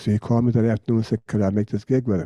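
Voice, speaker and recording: A man with an American accent speaks at a fairly quick pace in a medium pitch, somewhat breathy with a dark, mellow tone. The background is quiet. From United States. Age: 80s+. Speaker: jazz bassist. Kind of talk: interview answer.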